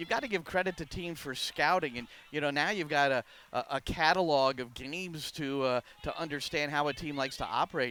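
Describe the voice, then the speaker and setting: A plain, everyday voice from a man, fairly high in pitch, at a fairly quick pace with ordinary pitch variation. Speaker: soccer play-by-play and color commentator. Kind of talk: live sports play-by-play commentary.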